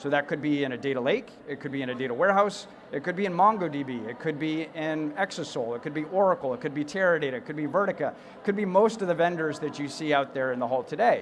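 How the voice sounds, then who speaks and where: A man with an American accent, fairly high in pitch, very fast, with ordinary pitch variation. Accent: American accent (to a UK audience). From United States. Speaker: tech company CEO, conference speaker. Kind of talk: conference keynote.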